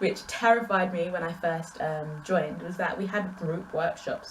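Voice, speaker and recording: Medium-pitched woman's voice with an English accent, audible room echo, and noticeable background noise. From England. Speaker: booktuber. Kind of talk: casual vlog Q&A. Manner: conversational, animated.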